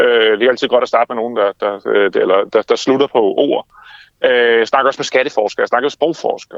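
A man talks at a fairly quick pace. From Denmark, Funen (Haarby), from age six. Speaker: author and campaign founder. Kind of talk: interview. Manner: fast; animated.

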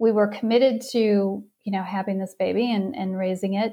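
A woman with an American accent and an unremarkable speaking voice talks at a moderate pace and medium pitch with fairly even intonation. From Wisconsin (outside Milwaukee). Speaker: parenting coach. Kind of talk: testimony.

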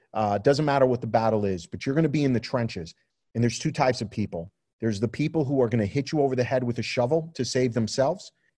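With a New York accent, a man at medium pitch and a dark, mellow tone talks at a very fast pace with ordinary pitch variation against a quiet background. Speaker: photographer and magazine publisher. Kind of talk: interview conversation.

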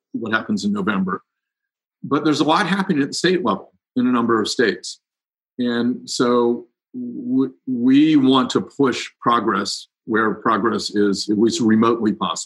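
A man with an American accent and a normal speaking voice, medium pitch, lively intonation, at a moderate pace. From Ohio, US Midwest (Cincinnati). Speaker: climate advocacy group director. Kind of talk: interview.

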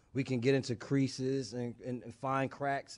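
A man has an ordinary speaking voice with an American accent. He speaks at a medium pitch and a moderate pace. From US Northeast (New Jersey). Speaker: former basketball player and TV analyst. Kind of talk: interview.

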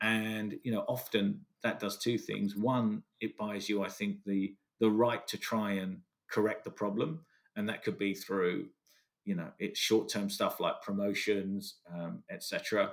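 A man with a British accent at a fairly slow pace. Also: very clean recording, silent background. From England. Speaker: business consultant. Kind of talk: interview.

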